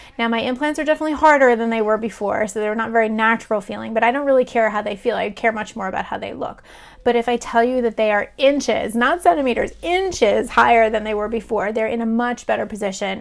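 Speaking very fast with hardly any pauses, a woman uses a fairly high pitch. Her pitch variation is ordinary, and the background is quiet. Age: 40s. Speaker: breast cancer survivor and author. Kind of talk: personal video blog. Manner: casual, with frequent fillers. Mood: earnest, relieved, emotional. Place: home room. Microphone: webcam.

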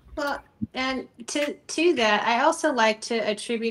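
A woman speaks. Her pitch varies in an ordinary way. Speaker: ministry founder and author; podcast guest. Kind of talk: casual interview. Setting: remote call from home. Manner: animated. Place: home room. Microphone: video call.

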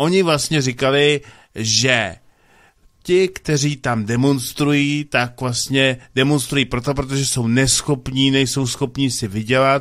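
This man talks at a very slow pace with fairly even intonation. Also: medium pitch for a man, quiet background. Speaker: radio co-host. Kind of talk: casual chat. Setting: studio. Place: studio.

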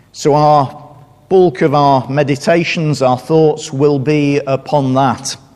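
The pace here is fairly slow. It is a man talking. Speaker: visiting preacher. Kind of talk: sermon. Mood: solemn, reflective. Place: church.

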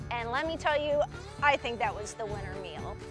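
Over clear music in the background, a woman talks at a moderate pace in a dry sound with no echo. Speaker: travel vlogger host. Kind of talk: travel commentary to camera. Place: street.

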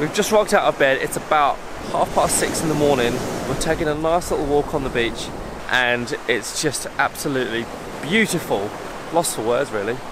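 A man's voice comes through with noticeable background noise. The sound is dry, with no echo. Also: moderate pace. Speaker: travel vlogger. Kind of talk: casual vlog chat. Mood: awed, relaxed. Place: beach. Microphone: phone near.

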